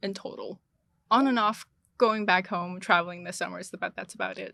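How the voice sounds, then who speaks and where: A woman with a Chinese accent speaks at medium pitch with fairly even intonation and a bright, sharp tone. The recording is very clean, with a silent background. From China. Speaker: international student. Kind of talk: casual chat.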